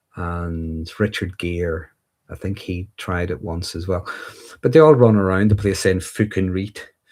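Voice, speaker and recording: A man with a Northern Irish accent speaks at a very deep, low pitch and a fairly slow pace, with ordinary pitch variation. His loudness swings widely on a very clean recording with a silent background. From Northern Ireland. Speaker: livestreamer discussing mental health and insecurities. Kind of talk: live stream Q&A reading viewer comments. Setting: livestream. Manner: casual, with fillers and restarts.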